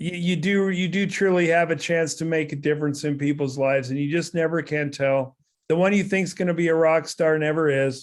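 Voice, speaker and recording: A man with a normal speaking voice, fairly high pitch, fairly even intonation and a fairly quick pace with hardly any pauses, against a quiet background. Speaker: company executive speaking to sales consultants. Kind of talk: storytelling in a video call.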